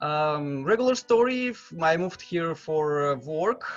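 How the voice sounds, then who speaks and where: Music plays in the background as a man talks with a strong Slavic accent. His voice is fairly high, with lively intonation. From Russia. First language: Russian. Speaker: developer advocate. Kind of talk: casual interview. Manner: halting, many repeats and fillers.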